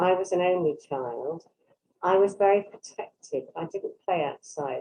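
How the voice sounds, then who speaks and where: A woman speaks with an English Midlands accent and ordinary pitch variation. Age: 70s. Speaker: workshop participant. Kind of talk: casual chat.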